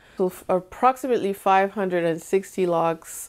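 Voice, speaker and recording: On a very clean recording with a silent background, a woman with a French Canadian accent speaks at a fairly slow pace. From Montreal, Canada. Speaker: hair care vlogger. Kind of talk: casual vlog Q&A.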